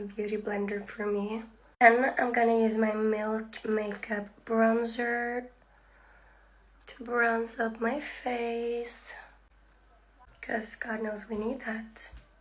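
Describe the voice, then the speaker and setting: A woman talks at a very slow pace in a fairly high pitch, her intonation monotone and flat. Audible room echo surrounds her voice. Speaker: beauty influencer. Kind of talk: makeup tutorial. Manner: casual, chatty.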